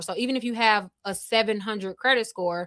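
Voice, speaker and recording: A woman's bright, sharp tone at a fairly high pitch, with ordinary pitch variation and a moderate pace. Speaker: credit repair educator. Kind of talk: live stream talk to viewers. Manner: casual, halting with repetitions.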